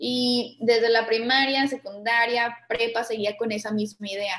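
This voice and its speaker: An unremarkable speaking voice from a woman, pitched fairly high, its intonation fairly even. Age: 20s. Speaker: architect and entrepreneur. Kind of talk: casual interview.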